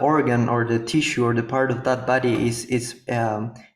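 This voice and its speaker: At a moderate pace, a man talks at a medium pitch, with audible echo from the room. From Paraguay. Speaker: yoga and healing therapist. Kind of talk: interview conversation. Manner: halting, many repetitions.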